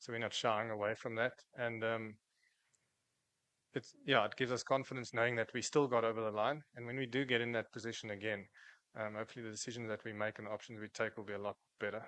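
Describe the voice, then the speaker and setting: Speaking at a very fast pace, a man with a South African accent has a medium pitch, a bright, sharp tone and monotone, flat intonation. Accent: South African (Afrikaans). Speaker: cricketer. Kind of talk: press conference. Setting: press conference room.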